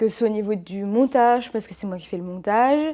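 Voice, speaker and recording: This woman talks at a fairly quick pace. Her voice is fairly high, with ordinary pitch variation. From eastern France. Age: 20s. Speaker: YouTuber. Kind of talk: casual vlog talk to camera. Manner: hesitant, many fillers.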